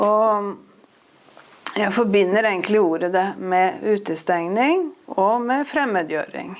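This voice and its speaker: A woman's medium-pitched voice with an eastern Norwegian accent, at a very slow pace, with ordinary pitch variation and very even loudness. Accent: broad eastern Norwegian dialect. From eastern Norway. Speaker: author. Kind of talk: interview on stage.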